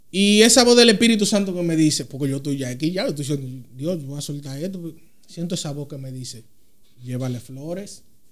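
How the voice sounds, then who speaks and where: With lively intonation and big swings in loudness, a man talks at a fairly quick pace in a fairly high pitch, with audible room echo around him. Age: 30s. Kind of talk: casual chat.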